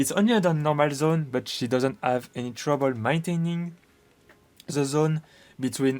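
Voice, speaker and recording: A man speaks with a French accent at a moderate pace. Music plays in the background. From France. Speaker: gaming video creator. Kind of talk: game analysis commentary. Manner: hesitant, many fillers.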